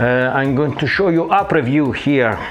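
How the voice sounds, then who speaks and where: The speaker has an Italian accent and a fairly slow pace. Audible room echo and noticeable background noise fill the recording. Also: man. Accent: Italian accent, non-native English. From Italy. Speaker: photographer. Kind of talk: tutorial. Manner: hesitant, frequent fillers.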